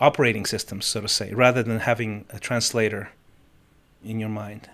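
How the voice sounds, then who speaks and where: At a moderate pace, a man speaks with a slight non-native accent. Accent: slight foreign. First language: Spanish or Russian. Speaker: musician and life coach. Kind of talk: interview. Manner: halting, many false starts.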